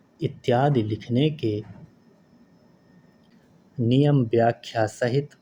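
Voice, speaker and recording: A man with a medium pitch and a dark, mellow, somewhat breathy tone talks with fairly even intonation and long, frequent pauses. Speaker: stenography dictation reader. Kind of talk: slow legal text dictation for typing practice. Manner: slow, clear.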